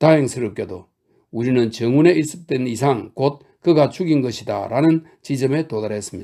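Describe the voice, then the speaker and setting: At a moderate pace, the voice has a dark, mellow tone and ordinary pitch variation on a very clean recording with a silent background. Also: man, medium pitch for a man. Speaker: audiobook narrator. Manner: rhetorical, earnest, persuasive, with pointed questions and emphatic pauses.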